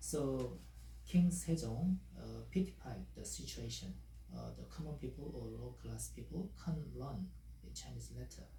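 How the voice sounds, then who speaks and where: In a Korean accent, a man with vocal fry and a dark, mellow tone speaks fairly slowly, with audible room echo. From South Korea. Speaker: language teacher. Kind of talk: tutorial. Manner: halting, many fillers.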